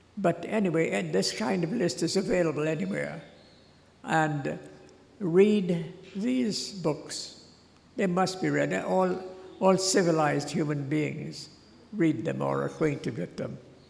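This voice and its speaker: A man's fairly high voice at a fairly slow pace, with long, frequent pauses and audible room echo. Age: 80s+. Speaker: honoree speaking at school graduation. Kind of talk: ceremonial speech. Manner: halting.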